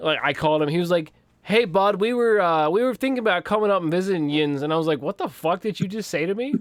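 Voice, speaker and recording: Talking at a very fast pace, a man with an American accent uses a high-pitched, animated tone and lively intonation. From Western Pennsylvania. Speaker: podcast co-host, army recruiter. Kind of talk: casual chat.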